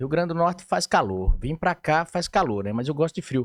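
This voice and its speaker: Recorded dry and close with no echo, a man's voice moves through very wide pitch swings. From Mato Grosso, Brazil. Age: 50s. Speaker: politician. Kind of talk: interview.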